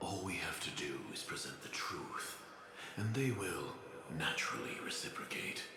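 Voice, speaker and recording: A man whispers in a put-on character voice at a moderate pace. Clear echo and loud background noise are present. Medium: virtual streamer.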